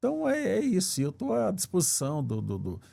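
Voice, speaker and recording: Captured in a very clean recording with a silent background, the voice has a dark, mellow tone, is somewhat breathy, and swings very widely in pitch. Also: man. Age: 70s. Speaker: former judge running for Senate. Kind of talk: interview. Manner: halting, repeats words.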